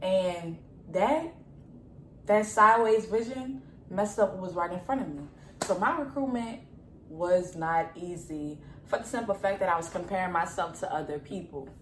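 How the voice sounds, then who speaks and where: In a New Orleans accent, the animated tone rises and falls with lively intonation and big swings in loudness, broken by long, frequent pauses, with audible room echo and noticeable background noise. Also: woman, medium pitch for a woman, moderate pace. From New Orleans, US South. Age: young. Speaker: student athlete vlogger. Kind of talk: casual Q&A vlog.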